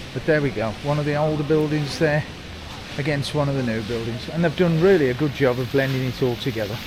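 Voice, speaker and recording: Over noticeable background noise and audible room echo, a man speaks at a very fast pace with a fairly high pitch. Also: ordinary pitch variation. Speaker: travel vlogger. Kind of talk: walking tour vlog. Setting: outdoors, city street. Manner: casual, chatty.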